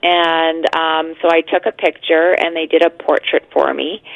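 A woman with a Canadian accent uses a normal speaking voice at a fairly slow pace. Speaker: caller. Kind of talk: casual chat. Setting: phone call.

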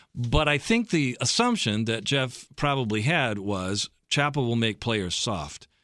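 Speaking at a fairly slow pace with hardly any pauses, a man with a Midwestern American accent has a medium pitch, lively intonation and a bright, sharp tone, on a very clean recording with a silent background. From US Midwest, Michigan and Ohio. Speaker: pastor and team chaplain. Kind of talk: radio interview. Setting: studio.

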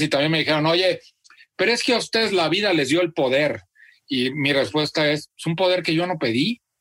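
A man speaks in an unremarkable speaking voice. His pitch varies in an ordinary way. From central Mexico (Celaya, Guanajuato). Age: 40s. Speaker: content creator and author. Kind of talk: interview. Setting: video call.

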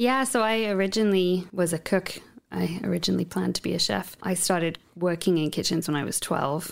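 Her pitch is fairly low, with vocal fry and ordinary pitch variation. This woman speaks at a fairly quick pace. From England-Wales border countryside. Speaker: restaurant co-owner and sommelier. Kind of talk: interview.

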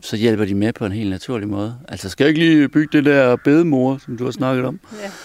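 Recorded very cleanly over a silent background, a man speaks at a moderate pace in an ordinary speaking voice with ordinary pitch variation. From Denmark, Aarhus. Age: 40s. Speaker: entertainer. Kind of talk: casual interview.

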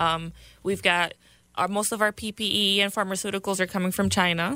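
In a very clean recording with a silent background, a woman with a Spanish accent speaks in a bright, sharp tone with fairly even intonation. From Puerto Rico, with childhood years in New York City. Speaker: congressional candidate and Air Force veteran. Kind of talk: political radio interview. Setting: radio studio.

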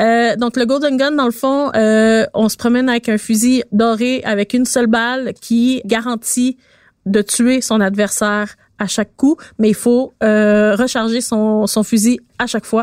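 A woman's fairly high voice in a Quebec accent at a very slow pace, dry and close with no echo, on a very clean recording against a silent background. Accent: Québécois French. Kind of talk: casual chat. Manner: enthusiastic.

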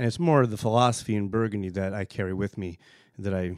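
In a very clean, dry, close recording with a silent background and no echo, a man with a plain, everyday voice and an American accent speaks at a moderate pace and a fairly low pitch. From US East Coast. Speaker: winemaker. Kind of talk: casual interview.

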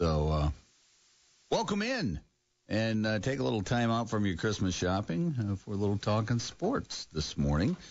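This man's fairly low voice moves in very wide pitch swings. He keeps a moderate pace and very even loudness. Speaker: sports radio host. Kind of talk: casual sports talk show.

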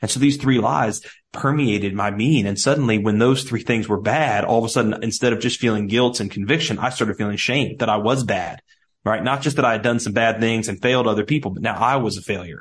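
Very fast speech with a slight Southern US accent and ordinary pitch variation. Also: man, medium pitch for a man. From US Midwest. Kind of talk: casual interview.

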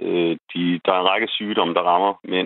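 A man's very deep, low voice at a moderate pace. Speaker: gender researcher and university lecturer. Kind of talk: radio interview. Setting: phone call. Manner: halting, repeats words.

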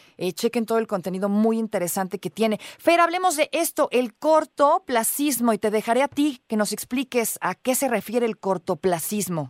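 A woman with a Mexican accent, her fairly high voice swinging very widely in pitch, at a moderate pace with hardly any pauses, over a very clean recording and a silent background. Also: dry, close sound with no echo. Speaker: radio host. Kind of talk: radio interview.

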